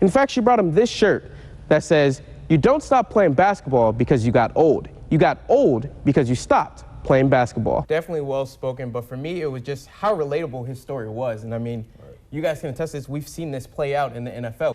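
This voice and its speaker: This man has an ordinary speaking voice with an American accent, fairly high pitch, lively intonation and big swings in loudness. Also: fairly quick pace. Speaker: sports reporter and anchor. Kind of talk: TV sports news reporter voiceover.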